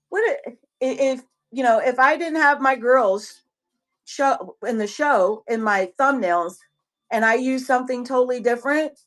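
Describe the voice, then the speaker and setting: A woman with a high-pitched voice speaks at a moderate pace with ordinary pitch variation. She leaves long, frequent pauses. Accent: strong Southern US. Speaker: online seller and live-stream host. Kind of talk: casual live-stream chat.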